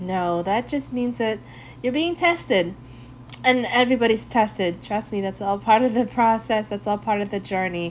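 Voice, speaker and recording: Here is an unremarkable speaking voice from a woman at a medium pitch. She keeps a moderate pace with lively intonation. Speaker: podcast host. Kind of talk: radio DJ patter: upbeat, slangy intros between reggae tracks. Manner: laid-back and friendly; warm, upbeat, casual.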